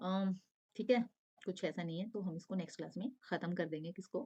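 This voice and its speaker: A woman's somewhat breathy, dark, mellow voice at a medium pitch, with ordinary pitch variation and a moderate pace. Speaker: online exam-prep teacher. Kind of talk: lecture.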